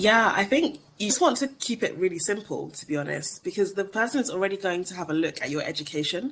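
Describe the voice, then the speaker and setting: In a British accent, the speaker talks at a very fast pace with hardly any pauses. The pitch makes very wide swings. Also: woman, medium pitch for a woman. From England. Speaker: recruiter. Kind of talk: webinar Q&A. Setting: online webinar.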